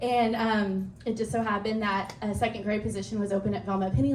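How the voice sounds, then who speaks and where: A woman at medium pitch and moderate pace, with audible room echo and noticeable background noise. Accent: American. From West Texas (Andrews). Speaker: assistant principal. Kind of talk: speech.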